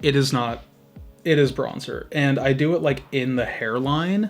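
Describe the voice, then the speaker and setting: A man speaks at a fairly slow pace in a fairly high pitch, with a normal speaking voice. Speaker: beauty youtuber. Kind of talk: makeup tutorial. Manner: casual, chatty.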